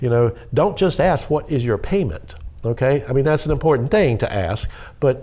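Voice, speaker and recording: Speaking at a fairly quick pace with lively intonation, a man with a slight Southern US accent has a dark, mellow tone that is somewhat breathy. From US South. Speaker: mortgage lender. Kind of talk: interview. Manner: fast when excited.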